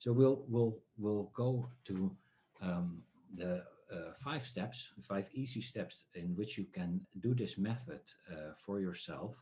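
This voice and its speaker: Speaking with a Dutch accent, a man uses a dark, mellow, somewhat breathy voice pitched fairly low. His pace is very slow, yet his intonation is lively. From Netherlands. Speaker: dream researcher and workshop speaker. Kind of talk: online talk. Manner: halting, many filler sounds.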